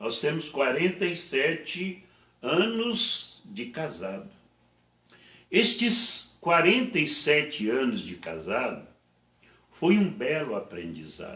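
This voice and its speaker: Audible room echo surrounds a man speaking very slowly with long, frequent pauses and vocal fry. His fairly high pitch swings very widely. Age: 70s. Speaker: pastor. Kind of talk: sermon. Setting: online church service.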